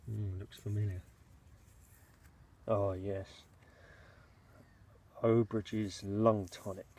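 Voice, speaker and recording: A man speaks very slowly with long, frequent pauses, his fairly low, somewhat breathy voice dark and mellow in tone and flat, monotone in intonation. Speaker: bottle digger. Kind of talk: casual talk to camera while digging.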